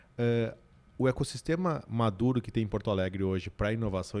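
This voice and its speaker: A man speaks in a strong Rio Grande do Sul accent at a medium pitch. His pace is fairly quick and his pitch varies in an ordinary way. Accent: strong gaúcho interior. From Brazil, Rio Grande do Sul interior (Santiago). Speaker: business consultant and CEO. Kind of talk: podcast interview conversation. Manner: animated.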